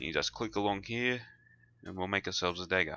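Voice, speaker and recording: Music plays in the background as a man with a fairly low pitch talks at a fairly quick pace with ordinary pitch variation. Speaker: gamer. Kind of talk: game tutorial narration. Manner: casual, hesitant.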